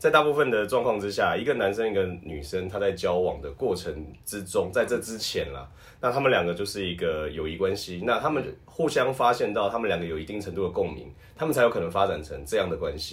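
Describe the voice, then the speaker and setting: A man's fairly low, somewhat breathy voice with lively intonation, a fairly quick pace and audible room echo. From Taiwan. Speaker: professional wrestler and voice actor. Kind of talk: casual chat.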